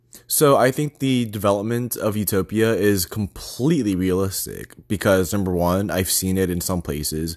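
This man has an American accent and a fairly low pitch. He keeps a moderate pace with hardly any pauses. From Texas. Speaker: solo vlogger. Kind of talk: casual monologue. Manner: rambling, hesitant with many fillers.

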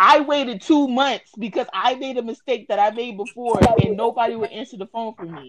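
A woman with an American accent speaks at a fairly quick pace. She has a plain, everyday voice, pitched fairly high, with ordinary pitch variation. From New Jersey. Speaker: podcast host and moderator. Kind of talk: casual chat.

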